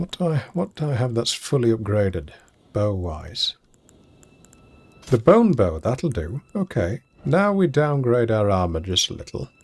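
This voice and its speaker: A man speaks fairly slowly at medium pitch, somewhat breathy. His pitch swings very widely, and he takes long, frequent pauses. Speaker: game streamer. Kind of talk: live gameplay commentary. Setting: live stream.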